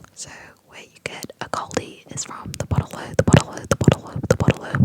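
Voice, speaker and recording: Someone whispers at a fairly quick pace with an Australian accent. Noticeable background noise can be heard. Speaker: ASMR creator. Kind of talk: ASMR whisper tutorial. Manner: whispered, repetitive.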